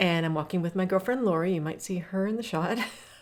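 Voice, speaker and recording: A very clean recording with a silent background holds speech delivered at a very fast pace. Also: woman. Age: 60s. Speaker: fitness coach. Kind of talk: guided workout walk talk. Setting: outdoors on a hiking trail. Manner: casual, encouraging.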